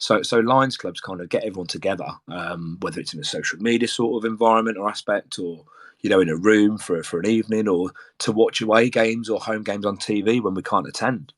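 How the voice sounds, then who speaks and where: A man's fairly low voice with a Brummie accent at a very fast pace, with ordinary pitch variation, on a very clean recording with a silent background. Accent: Birmingham (Brummie). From English Midlands, Birmingham. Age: 40s. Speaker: football supporters group organiser, military serviceman. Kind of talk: casual chat. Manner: hesitant, many fillers and repetitions.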